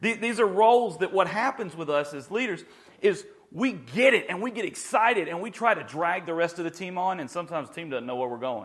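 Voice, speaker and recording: A man speaks in an animated tone at a very fast pace. His pitch swings very widely and his loudness shifts a lot. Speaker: pastor. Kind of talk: teaching.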